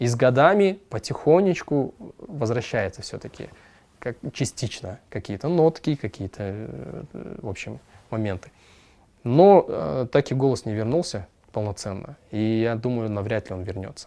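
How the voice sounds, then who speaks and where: Against a quiet background, a man talks at a fairly slow pace with long, frequent pauses. His medium-pitched voice has a dark, mellow tone and very wide pitch swings. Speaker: singer and composer. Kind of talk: casual interview chat.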